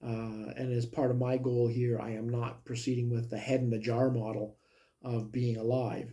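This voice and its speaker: This somewhat breathy voice has a dark, mellow tone and moves at a moderate pace. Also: man. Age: 60s. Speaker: health vlogger. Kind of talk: personal video monologue. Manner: hesitant, many fillers.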